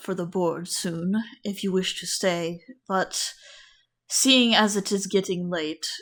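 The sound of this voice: An unforced reading voice with fairly even intonation comes over a quiet background.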